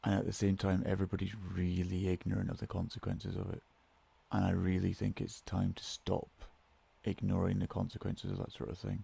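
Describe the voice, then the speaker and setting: Speaking at a fairly quick pace with a Scottish accent, a man's very deep, low voice carries vocal fry, a dark, mellow tone and monotone, flat intonation. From Scotland. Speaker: podcast host. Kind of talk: casual monologue. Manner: somber tone.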